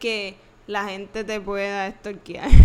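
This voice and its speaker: A woman talking at a fairly slow pace. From Puerto Rico, Trujillo Alto. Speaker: podcast co-host. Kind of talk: casual chat. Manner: laughs a lot.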